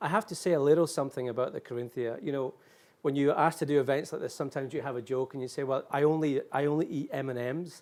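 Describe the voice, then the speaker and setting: A man with a Scottish accent speaks at a very fast pace, his pitch fairly high and his intonation fairly even. The recording is very clean, with a silent background. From Scotland. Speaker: event moderator. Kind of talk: live event hosting. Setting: hotel suite event studio.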